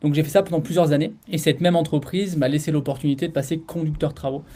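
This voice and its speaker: The voice moves at a very fast pace and sounds somewhat breathy. Its tone is dark and mellow. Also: man. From France, Grenoble area (Alps). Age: 30s. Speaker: property dealer and former soldier. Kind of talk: interview podcast. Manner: casual, hesitant with fillers.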